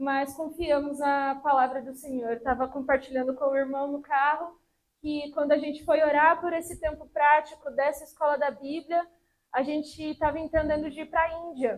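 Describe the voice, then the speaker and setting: A woman's high-pitched, monotone, flat delivery at a moderate pace. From Brazil, São Paulo city. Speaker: missionary preacher. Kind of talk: sermon. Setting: church service.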